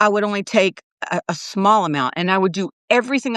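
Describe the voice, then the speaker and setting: It is an unremarkable speaking voice. The speech moves at a moderate pace. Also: woman. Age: 60s. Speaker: nurse and wellness coach. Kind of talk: casual chat. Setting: livestream.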